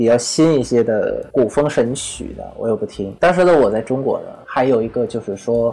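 The speaker talks at a moderate pace with hardly any pauses. Noticeable background noise can be heard. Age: 20s. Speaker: podcast host. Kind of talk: personal storytelling monologue. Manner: halting, many fillers and repetitions.

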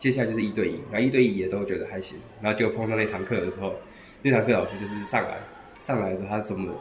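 Noticeable background noise and audible room echo accompany a man with a Taiwanese accent speaking at a very fast pace and fairly low pitch, his intonation fairly even. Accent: Taiwanese Mandarin. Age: 20s. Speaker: language school student. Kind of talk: interview.

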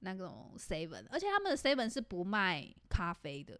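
A woman at a moderate pace. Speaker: podcast co-host. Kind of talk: casual chat. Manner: animated.

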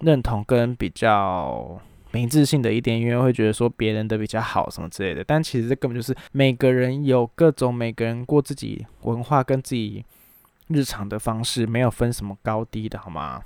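The recording is very clean, with a silent background and a dry, close sound with no echo. A man speaks at a moderate pace and medium pitch, with ordinary pitch variation. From Taiwan. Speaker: podcast host and illustrator. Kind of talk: casual solo chat. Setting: recording alone at home.

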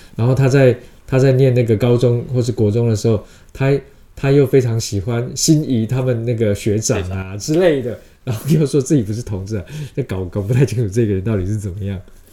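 His voice is somewhat breathy with a dark, mellow tone. The man moves at a fairly quick pace with ordinary pitch variation. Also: medium pitch for a man. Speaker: theatre actor and director. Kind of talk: interview.

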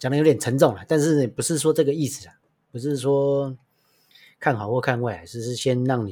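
Speaking with a Taiwanese accent, a man uses a dark, mellow tone at medium pitch and a moderate pace. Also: very clean recording, silent background. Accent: Taiwanese Mandarin with Taiwanese Hokkien. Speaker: podcast host, chef. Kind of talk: casual chat.

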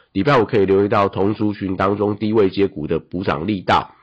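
This is an ordinary speaking voice. It moves at a moderate pace. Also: man. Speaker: stock market analyst. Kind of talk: market news briefing.

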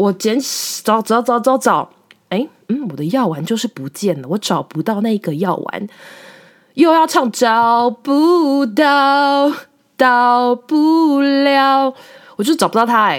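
A woman speaks at a high pitch with very wide pitch swings. Her pace is very slow. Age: 30s. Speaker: podcast host. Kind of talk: casual monologue.

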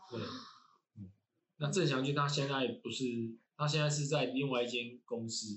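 Speaking at medium pitch with a Taiwanese accent, a man keeps a moderate pace broken by long, frequent pauses, with ordinary pitch variation and big swings in loudness. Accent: Taiwanese Mandarin. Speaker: university lecturer in environmental engineering. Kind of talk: casual interview chat. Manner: halting, many fillers and repetitions.

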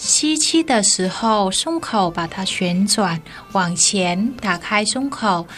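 Lively intonation carries a very slow delivery while music plays in the background. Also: woman, medium pitch for a woman. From northern Vietnam, Hanoi. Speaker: yoga teacher and Vietnamese teacher. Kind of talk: radio interview; yoga instruction.

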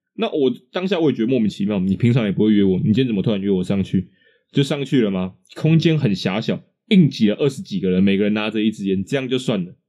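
A man talks very fast with lively intonation. His voice is medium in pitch with a dark, mellow tone. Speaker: podcast co-host. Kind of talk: casual chat.

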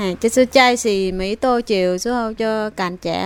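A woman with a Vietnamese accent speaks fairly slowly at a fairly high pitch, using ordinary pitch variation. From southern Vietnam (An Giang). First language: Vietnamese (speaking Chinese). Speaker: immigrant spouse. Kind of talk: interview.

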